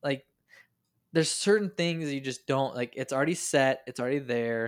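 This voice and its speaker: Recorded very cleanly against a silent background, a man speaks with a fairly high pitch and ordinary pitch variation. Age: 30s. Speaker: podcast host. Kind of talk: casual chat. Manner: animated.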